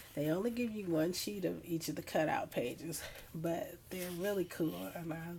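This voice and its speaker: The voice has a dark, mellow tone, moves at a fairly slow pace and shows ordinary pitch variation. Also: woman. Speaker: scrapbooking hobbyist. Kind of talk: casual talk to camera.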